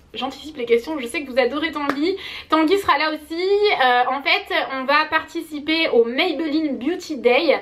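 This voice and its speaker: A woman speaks at a moderate pace in a high voice with an animated tone. Her pitch varies in an ordinary way. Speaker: beauty vlogger. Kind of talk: casual vlog.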